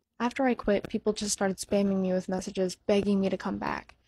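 Somewhat breathy and dark, mellow in tone, a woman talks at a fairly quick pace with monotone, flat intonation. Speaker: content creator. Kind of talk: emotional personal talk to viewers. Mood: sad, heartfelt, regretful. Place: home room. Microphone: handheld.

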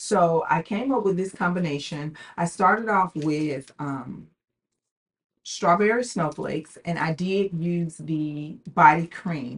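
A woman's speech moves at a very slow pace, somewhat breathy and with ordinary pitch variation. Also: fairly low pitch for a woman. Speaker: fragrance reviewer YouTuber. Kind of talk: casual product review vlog. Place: home room.

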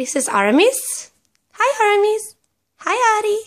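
A woman with a Swedish accent speaks with very wide pitch swings against a quiet background. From Sweden. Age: 20s. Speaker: pet owner vlogger. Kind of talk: casual talk to camera. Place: home room. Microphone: phone near.

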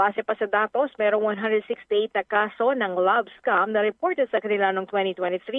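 Using an ordinary speaking voice, a woman talks at a fairly high pitch and moderate pace with fairly even intonation, very even loudness and hardly any pauses. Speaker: radio news reporter. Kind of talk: news reading.

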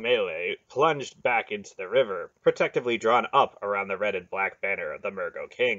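Someone reads a text aloud in a natural voice.

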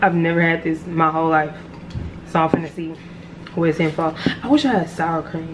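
A woman speaks in a fairly low pitch at a fairly quick pace, yet with long, frequent pauses. Noticeable background noise runs under her voice. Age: 20s. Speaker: lifestyle vlogger. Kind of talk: casual vlog talk to camera. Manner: animated. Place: kitchen. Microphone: phone near.

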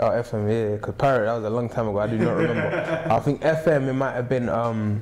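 A man at a very fast pace, with hardly any pauses. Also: ordinary pitch variation. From South London, England. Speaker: rapper and singer, independent music artist. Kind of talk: interview answer. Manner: relaxed, casual, conversational. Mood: relaxed, casual. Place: studio.

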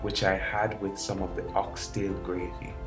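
A man is speaking. Music plays in the background. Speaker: college student. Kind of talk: personal memoir narration. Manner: excited, higher-pitched.

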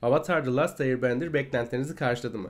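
Here a man talks. His pace is very fast. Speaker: YouTube series reviewer. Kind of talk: scripted review narration.

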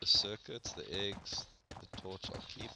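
Moderate-paced speech from a man with a South African accent, over noticeable background noise. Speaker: gamer. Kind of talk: casual gaming chat. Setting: online voice chat.

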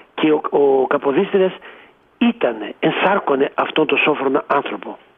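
Through noticeable background noise, a man talks very slowly at a fairly high pitch with lively intonation. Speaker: professor, poet and writer. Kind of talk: radio interview.

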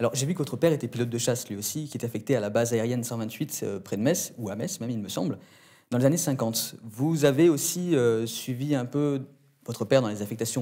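With ordinary pitch variation, a man moves at a fairly quick pace against a quiet background. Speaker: interviewer. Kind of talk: interview questions. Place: studio.

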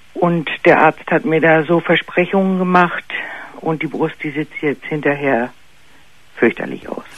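The speech moves at a fairly slow pace with long, frequent pauses. The sound is dry with no echo. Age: 50s. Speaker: caller. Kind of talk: personal story by phone. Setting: phone call. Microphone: phone line.

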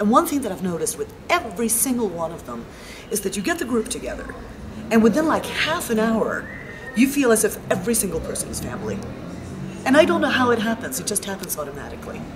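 Over noticeable background noise, a woman talks at a very fast pace with fairly high pitch, lively intonation and big swings in loudness. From Sweden, Stockholm. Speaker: spiritual travel participant. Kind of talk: interview. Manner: animated. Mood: warm, enthusiastic.

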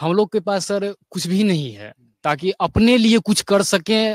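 A man speaks with ordinary pitch variation. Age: 20s. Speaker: young voter, recent graduate. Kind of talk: street interview.

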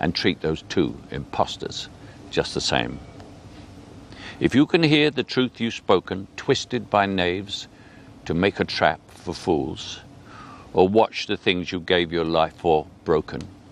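A man with an English accent speaks at a fairly slow pace with long, frequent pauses, his very deep, low pitch swinging very widely and edged with vocal fry, in a dry sound with no echo. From England. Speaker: actor. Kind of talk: poetry reading. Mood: calm, earnest, measured. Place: garden.

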